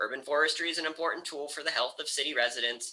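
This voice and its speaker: The voice has a bright, sharp tone and moves at a very fast pace. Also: man. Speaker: university instructor and GIS director. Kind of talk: lecture.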